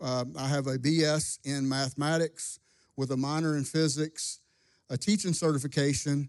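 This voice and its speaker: An unremarkable speaking voice moves at a moderate pace with fairly even intonation over a quiet background. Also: man, fairly high pitch for a man. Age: 50s. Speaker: pastor. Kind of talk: testimony. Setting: church.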